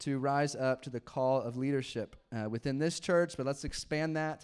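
On a very clean recording with a silent background, a man with an unremarkable speaking voice talks at a fairly quick pace in a medium pitch with fairly even intonation. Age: 30s. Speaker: pastor. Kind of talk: sermon. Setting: church. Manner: casual, laughing often.

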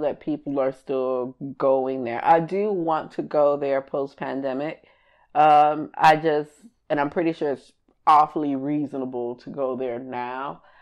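A woman talks at a moderate pace with a very deep, low pitch. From Miami, Haitian household. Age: 30s. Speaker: podcast co-host. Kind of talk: casual chat.

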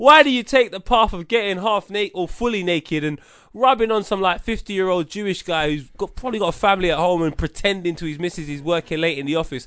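A man with a London accent talks at a very fast pace in a high voice, his intonation lively and his tone animated, against a quiet background. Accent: London Multicultural English. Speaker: podcast co-host. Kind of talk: casual chat.

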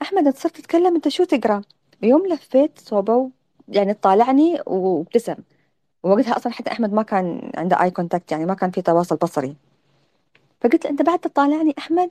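A woman with an Emirati accent speaks at a fairly quick pace in a high pitch with very wide pitch swings and a dark, mellow tone, in a dry, close sound with no echo. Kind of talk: interview on audio live space. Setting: online audio room.

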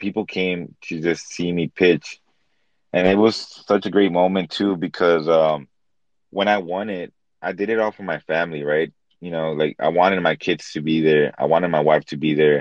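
A man speaks with a very deep, low pitch. His pace is moderate. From Los Angeles, US. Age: 30s. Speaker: NFT collector. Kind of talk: casual interview. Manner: animated.

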